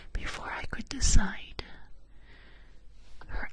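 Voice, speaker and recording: The speech is whispered. Background noise is noticeable throughout. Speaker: ASMR storyteller. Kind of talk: whispered bedtime roleplay story. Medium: role play.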